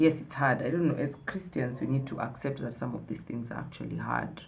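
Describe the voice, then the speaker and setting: An animated woman with a very deep, low pitch, vocal fry and ordinary pitch variation speaks amid audible room echo. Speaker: vlogger. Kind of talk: casual vlog talk to camera.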